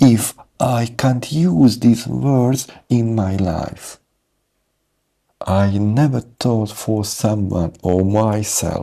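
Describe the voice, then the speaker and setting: A man with a non-native accent speaks at a very slow pace. His tone is dark and mellow, with medium pitch and ordinary pitch variation. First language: not English. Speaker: English speaking coach. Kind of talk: motivational talk to camera. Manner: halting, broken phrasing.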